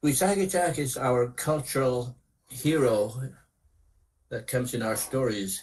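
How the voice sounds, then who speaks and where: With long, frequent pauses, a man at a medium pitch speaks at a fairly slow pace in a somewhat breathy voice with ordinary pitch variation. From northern Saskatchewan, Canada (Cree community). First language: Cree. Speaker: storyteller. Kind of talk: storytelling talk to students.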